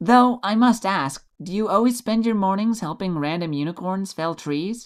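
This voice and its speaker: A put-on character voice at middle pitch, in a very clean recording with a silent background. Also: moderate pace. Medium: read story. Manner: polite, lightly wry.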